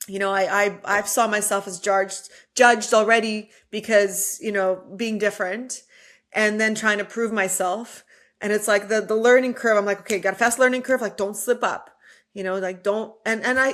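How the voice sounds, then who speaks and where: In a very clean recording with a silent background, a woman speaks at a moderate pace in a fairly high, monotone voice with flat intonation. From immigrant, came to US as a teen. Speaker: entrepreneur and speaker. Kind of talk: podcast interview.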